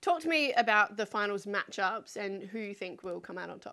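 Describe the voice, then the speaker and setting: Bright and sharp in tone, a woman's fairly high voice moves at a moderate pace. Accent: South Australian. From South Australia. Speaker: sports podcast co-host. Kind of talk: casual chat. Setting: studio.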